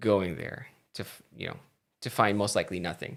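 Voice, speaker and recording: A man with a slight Filipino accent is heard on a very clean recording with a silent background. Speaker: tech and gaming streamer. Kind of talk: casual live stream chat. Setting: live stream from home. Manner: hesitant, many fillers.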